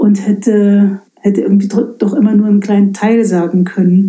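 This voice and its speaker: A woman speaks at a moderate pace in a medium pitch, her intonation flat and monotone. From eastern Germany, Lausitz. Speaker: pastor. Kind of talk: casual interview. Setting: in her study at the parsonage.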